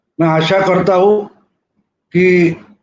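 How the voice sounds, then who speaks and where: This man speaks at a high pitch with a Marathi accent. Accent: Marathi-accented Hindi. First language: Marathi (speaking Hindi). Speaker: journalist, political commentator. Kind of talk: video commentary.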